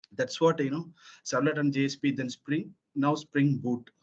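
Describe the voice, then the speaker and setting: A fairly high-pitched male voice at a moderate pace with fairly even intonation. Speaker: software trainer. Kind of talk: technical training lecture. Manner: hesitant, many fillers.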